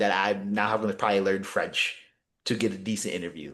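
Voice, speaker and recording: An animated tone at a fairly quick pace, with ordinary pitch variation. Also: man. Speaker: basketball journalist and podcast co-host. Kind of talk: casual podcast chat. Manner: fast.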